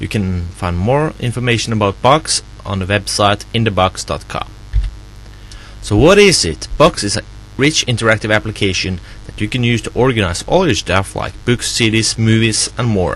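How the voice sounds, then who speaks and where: A man is speaking with a non-native accent. His pace is moderate. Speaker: software developer. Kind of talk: software tutorial walkthrough. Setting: background noise. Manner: unrehearsed, casual.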